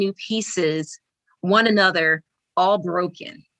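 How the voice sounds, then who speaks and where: A woman's medium pitch at a very slow pace with ordinary pitch variation, in a dry, close sound with no echo. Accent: American. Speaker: poet and army veteran. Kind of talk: spoken word poetry reading, then interview.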